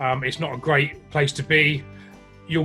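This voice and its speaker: Over music in the background, a man with an English accent speaks at a fairly high pitch with fairly even intonation. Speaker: online fitness and nutrition coach. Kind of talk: interview answer. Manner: blunt, humorous.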